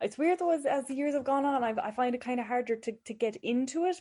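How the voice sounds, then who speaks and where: Speaking at a very fast pace, a woman has a dark, mellow tone and a west of Ireland accent. The background is quiet. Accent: rural west of Ireland. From Ireland, County Galway, rural. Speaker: mental health nurse. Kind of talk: casual interview chat.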